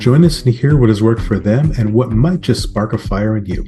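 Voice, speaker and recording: Music plays in the background as a man talks at medium pitch and a moderate pace, with ordinary pitch variation. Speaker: podcast host. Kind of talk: podcast intro.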